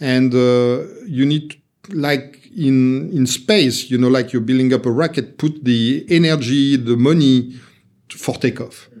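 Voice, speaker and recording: With a French accent, a man talks at a fairly slow pace. His medium pitch shows ordinary variation. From France, Paris area. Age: 50s. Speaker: serial entrepreneur. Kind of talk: casual interview. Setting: in-person studio recording.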